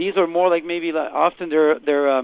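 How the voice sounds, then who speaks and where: Fairly quick speech in a Quebec accent with ordinary pitch variation. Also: man. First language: French. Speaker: rock singer. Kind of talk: interview. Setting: phone call. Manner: casual, lots of fillers.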